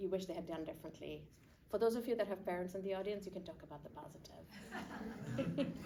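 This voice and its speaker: A woman with a dark, mellow tone and medium pitch speaks at a moderate pace with ordinary pitch variation, and room echo is audible. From Pakistan. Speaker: panel moderator. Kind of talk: panel Q&A.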